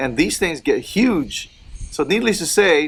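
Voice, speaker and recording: A man with a Filipino accent talks in a relaxed tone at a moderate pace. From Philippines. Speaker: cigar and lifestyle vlogger. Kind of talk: casual vlog chat. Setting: outdoors in a gazebo. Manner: relaxed, halting with fillers.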